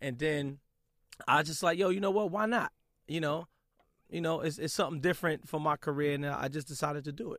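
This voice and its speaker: In a New York accent, a man speaks at a fairly quick pace and a fairly high pitch with ordinary pitch variation, leaving long, frequent pauses. The recording is very clean with a silent background. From Brooklyn, New York. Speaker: radio DJ. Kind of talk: interview.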